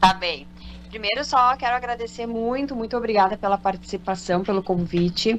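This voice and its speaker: Over noticeable background noise, a woman speaks at a moderate pace, medium pitch and ordinary pitch variation. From Porto Alegre, southern Brazil. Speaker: olive oil producer. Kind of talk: radio interview. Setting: radio studio.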